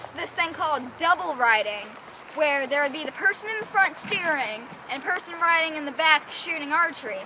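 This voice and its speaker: Over noticeable background noise, a woman with a Southern US accent talks at a fairly quick pace in a raised, projected voice, her pitch high and her intonation lively. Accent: American country. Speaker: horse rider. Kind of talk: casual educational presentation to camera.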